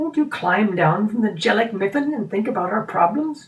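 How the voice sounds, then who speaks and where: A put-on character voice from a man, high-pitched, at a moderate pace. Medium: read story. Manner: authoritative, talkative, odd formal phrasing.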